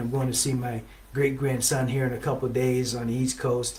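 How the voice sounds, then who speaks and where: A man talks at a moderate pace with a medium pitch. There's audible room echo and noticeable background noise. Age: 60s. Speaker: relationship show host. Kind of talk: motivational talk. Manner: conversational, with many fillers.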